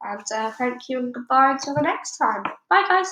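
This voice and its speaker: A woman speaks in a high pitch with a British accent. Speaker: audiobook reader. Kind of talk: casual chat; reading aloud. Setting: at home.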